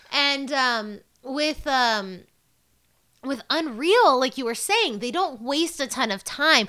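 Speaking very slowly in a raised, projected voice, a woman with a high pitch uses lively intonation. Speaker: podcast host. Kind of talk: casual chat.

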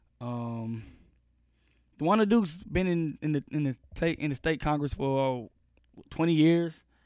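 A fairly high-pitched man at a fairly slow pace, lively intonation and long, frequent pauses. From Austin, Texas. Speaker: podcast host. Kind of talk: news commentary monologue; casual interview chat. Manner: casual, filler-heavy.

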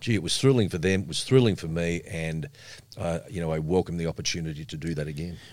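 A man with an Australian accent talks very fast in a very deep, low voice. The recording is very clean, with a silent background. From Melbourne, Australia. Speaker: radio broadcaster and media trainer. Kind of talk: casual interview.

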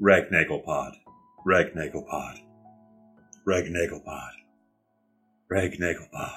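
With music in the background, a man puts on a strained character voice, very deep and low in pitch, monotone and flat, at a fairly slow pace with long, frequent pauses.

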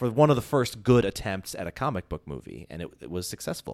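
A man with a plain, everyday voice speaks at a fairly low pitch and fairly quick pace with lively intonation, on a very clean recording with a silent background. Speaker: podcast guest. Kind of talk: casual chat.

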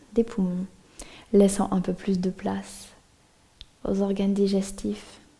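A woman speaks very slowly at a medium pitch, her tone soothing and calm and her intonation monotone and flat. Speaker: yoga nidra teacher. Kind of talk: guided meditation. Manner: slow, soothing, hushed and calm; gently paced, drifting with long pauses.

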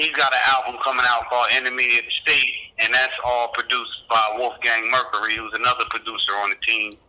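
A man with an American accent at a fairly quick pace, hardly any pauses, over noticeable background noise. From New Jersey. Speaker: rapper and record label founder. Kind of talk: interview conversation.

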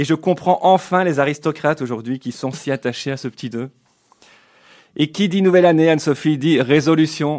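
At a moderate pace, a man with a fairly high pitch and ordinary pitch variation leaves long, frequent pauses. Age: 40s. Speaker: radio columnist. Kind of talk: comic radio column.

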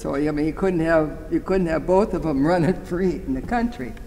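This clip has noticeable background noise and audible room echo. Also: man. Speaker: war veteran. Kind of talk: interview reminiscence.

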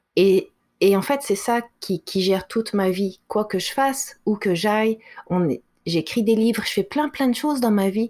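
An ordinary speaking voice from a woman, fairly high in pitch with ordinary variation, at a moderate pace, on a very clean recording with a silent background. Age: 40s. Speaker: author and speaker. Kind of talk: interview.

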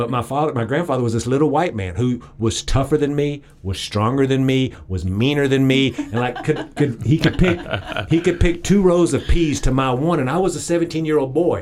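A man with an East Texas accent and fairly high pitch shows ordinary pitch variation, with noticeable background noise. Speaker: political campaign advisor. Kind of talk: interview.

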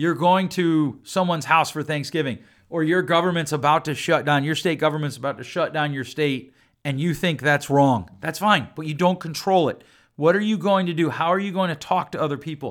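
Loud and animated, a man with a fairly high pitch speaks at a moderate pace in a bright, sharp tone with ordinary pitch variation, on a very clean recording with a silent background. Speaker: podcast host and counselor. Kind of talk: solo podcast monologue. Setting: studio recording.

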